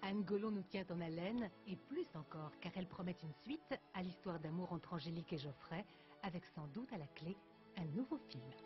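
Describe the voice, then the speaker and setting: A woman's fairly low voice with lively intonation at a moderate pace, music in the background. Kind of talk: TV news report narration.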